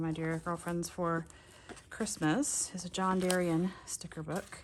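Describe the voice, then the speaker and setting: A woman has an unremarkable speaking voice. Her pitch is fairly low and her intonation fairly even. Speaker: crafting youtuber. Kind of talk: casual crafting show-and-tell video.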